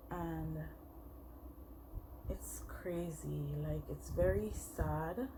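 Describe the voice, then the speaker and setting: The speaker talks with a Jamaican accent. Audible room echo and noticeable background noise come through. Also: woman. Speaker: makeup vlogger. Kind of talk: casual chat while doing makeup tutorial. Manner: hesitant, many fillers.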